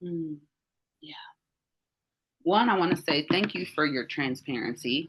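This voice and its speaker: In a Southern US accent, a woman talks at a very slow pace with a very deep, low pitch. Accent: Southern American. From US South, Mississippi. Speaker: life coach. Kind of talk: group coaching call. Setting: audio-only video call. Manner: warm, animated.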